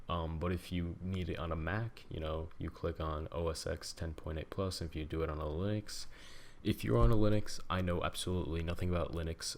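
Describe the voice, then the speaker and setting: A soft-spoken man's very deep, low voice at a fairly quick pace, with ordinary pitch variation. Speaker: tech tutorial youtuber. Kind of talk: tutorial. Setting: home at night. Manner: hesitant, many fillers.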